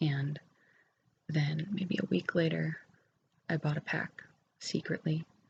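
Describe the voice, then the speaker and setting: Soft-spoken and very deep in pitch, a woman talks at a very slow pace with long, frequent pauses and fairly even intonation. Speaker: ASMR creator. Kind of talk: ASMR ramble. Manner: hesitant with fillers.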